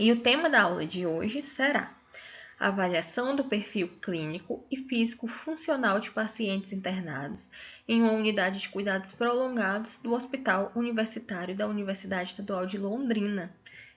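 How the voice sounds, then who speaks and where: A woman talks in a plain, everyday voice at a medium pitch. She keeps a moderate pace with ordinary pitch variation. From Brazil, Piauí. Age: 20s. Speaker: physiotherapist and master's student. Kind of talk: lecture.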